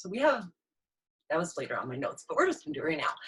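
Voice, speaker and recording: A woman's somewhat breathy voice. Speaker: inspirational speaker and mentor. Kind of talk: live motivational talk. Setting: live stream on Zoom and Facebook. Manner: fast.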